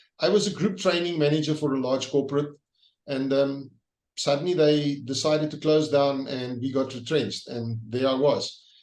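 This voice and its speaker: Ordinary pitch variation marks a man's voice pitched fairly high. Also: moderate pace. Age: 60s. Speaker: leadership trainer and author. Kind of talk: interview. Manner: halting.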